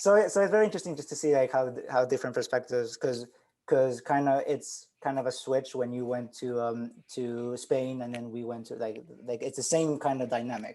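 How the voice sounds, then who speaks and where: With a dark, mellow tone, a man talks at a fairly quick pace in a medium pitch with ordinary pitch variation. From Argentina, Switzerland and Mexico. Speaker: podcast co-host. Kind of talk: casual chat. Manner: halting, many repetitions.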